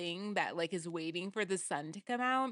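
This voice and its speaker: A woman with a West Coast accent speaks at medium pitch with lively intonation. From Portland, Oregon, US Pacific Northwest. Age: 40s. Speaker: podcast co-host. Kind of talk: casual chat.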